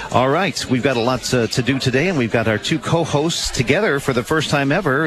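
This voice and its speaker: With noticeable background noise behind him, a man speaks with ordinary pitch variation. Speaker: radio host. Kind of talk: live radio show with guests, casual chat. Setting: live event in a noisy room. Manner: upbeat, friendly.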